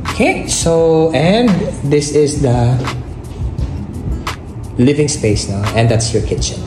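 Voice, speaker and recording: Against clear music in the background, the speech comes very slowly with long, frequent pauses. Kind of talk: property tour narration. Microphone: phone near.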